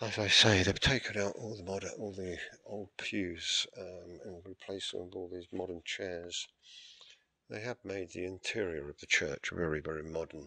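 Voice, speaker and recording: This man has a very deep, low voice and fairly even intonation. He speaks quietly at a moderate pace with an English accent. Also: big swings in loudness. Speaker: church history vlogger. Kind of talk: video tour narration. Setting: inside a church with people present. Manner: speaking quietly.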